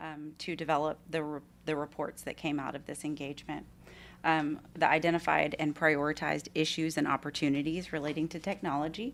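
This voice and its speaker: A woman with a Texan accent, very deep and low in pitch, in a monotone, flat intonation at a fairly quick pace, on a very clean recording with a silent background. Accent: noticeable Texan. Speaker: management consultant. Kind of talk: formal presentation. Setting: school board meeting room.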